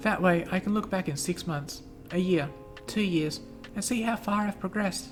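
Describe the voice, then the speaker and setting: In an Australian accent, a woman talks at medium pitch and a moderate pace. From Western Australia. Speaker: video blogger. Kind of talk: personal informational vlog.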